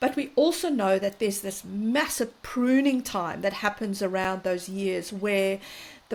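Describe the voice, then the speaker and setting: At a fairly slow pace, a woman talks in a South African accent. Her pitch is medium and varies in an ordinary way. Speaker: parenting and mental health expert. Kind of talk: interview conversation.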